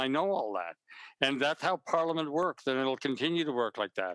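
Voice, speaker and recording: With a Canadian accent, a man speaks in a bright, sharp tone with ordinary pitch variation, the sound dry and close with no echo. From Canada. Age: 70s. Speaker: novelist and senator. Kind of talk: author interview. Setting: live online event. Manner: halting, many repetitions.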